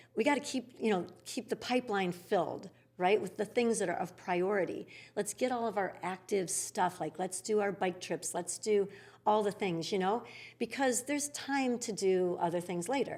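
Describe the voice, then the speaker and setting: A plain, everyday voice at a moderate pace with ordinary pitch variation. The recording is very clean, with a silent background. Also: woman, medium pitch for a woman. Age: 60s. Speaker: yoga studio founder. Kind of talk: interview conversation.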